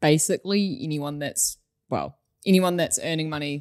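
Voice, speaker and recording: A woman with a New Zealand accent talks at a moderate pace in a very deep, low voice with fairly even intonation, the sound dry and close with no echo. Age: 20s. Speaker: accounting manager. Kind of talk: casual chat.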